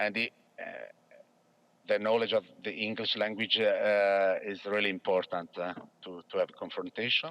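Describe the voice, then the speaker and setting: In a dry, close sound with no echo, a man speaks with long, frequent pauses. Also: moderate pace. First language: not English. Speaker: public sector employee. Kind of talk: webinar interview. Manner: halting.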